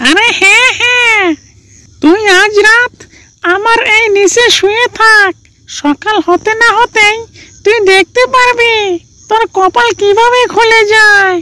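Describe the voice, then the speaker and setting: A cartoonish character voice at an extremely high pitch and a fairly slow pace. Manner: chuckling, friendly, repeats words.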